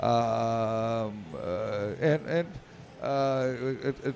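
Here a man talks with fairly even intonation. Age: 70s. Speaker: pinball industry executive. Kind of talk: interview. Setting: live at a convention with audience.

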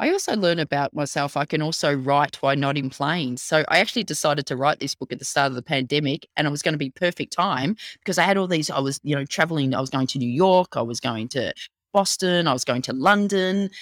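Speaking very fast, a woman with an Australian accent has a very deep, low pitch. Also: ordinary pitch variation, dry, close sound with no echo, very clean recording, silent background. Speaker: storytelling consultant and author. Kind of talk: interview.

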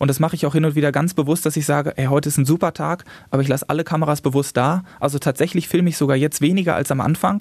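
A man speaks at a very fast pace with a fairly high pitch. His loudness is very even and his intonation fairly even. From Germany, Westphalia (Salzkotten). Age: 30s. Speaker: paraglider pilot and YouTuber. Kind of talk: interview.

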